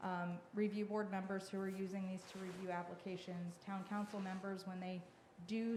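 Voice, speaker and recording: At a moderate pace, a woman speaks in a monotone, flat way at medium pitch, with audible room echo and noticeable background noise. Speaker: historic preservation consultant. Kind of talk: public meeting presentation. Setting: town hall meeting. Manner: hesitant, many fillers.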